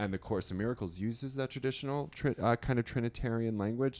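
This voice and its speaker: Speaking at a very fast pace, a man talks with a Long Island accent. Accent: New York (Long Island). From Long Island, New York. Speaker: astrologer and writer. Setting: hotel room.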